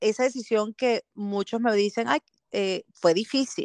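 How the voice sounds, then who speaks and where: Delivery is very slow. There is no echo at all, and the audio sounds dry and close. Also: woman. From Venezuela, Caracas. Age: 40s. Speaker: marketing professional and speaker. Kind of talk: interview.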